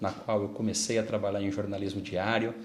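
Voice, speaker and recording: Amid noticeable background noise and audible room echo, a man with a fairly low pitch speaks in a monotone, flat intonation. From Brazil, Santa Adélia (São Paulo interior). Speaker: newspaper editor, journalist. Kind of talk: interview. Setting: studio, live broadcast.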